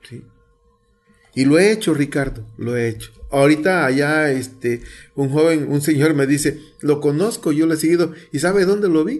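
With a normal speaking voice, a man talks at a middling speed, his fairly high pitch moving with ordinary variation. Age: 60s. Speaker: community radio presenter, teacher. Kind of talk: interview.

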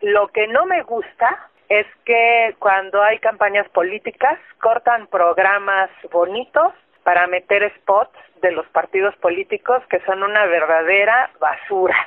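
At a fairly slow pace and very even loudness, a woman speaks at medium pitch in an ordinary speaking voice. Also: ordinary pitch variation. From central Mexico (Tlalnepantla, State of Mexico). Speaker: radio listener. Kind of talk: testimony.

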